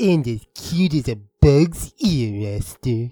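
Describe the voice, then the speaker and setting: A man's put-on character voice at a medium pitch, very slow, with lively intonation. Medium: audio drama. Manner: smooth and jaunty.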